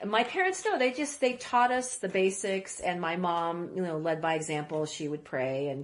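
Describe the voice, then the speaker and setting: Against noticeable background noise, a woman talks at a moderate pace with hardly any pauses, a medium pitch and very wide pitch swings. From Lexington, Kentucky, after early childhood in Iraq. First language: Arabic. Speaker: editor, producer and writer. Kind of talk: interview. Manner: halting, many restarts and fillers.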